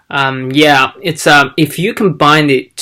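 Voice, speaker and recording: With a Chinese accent, a man speaks in a bright, sharp tone at a fairly high pitch. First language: Mandarin Chinese. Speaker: language learning vlogger. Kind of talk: casual vlog tutorial. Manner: halting.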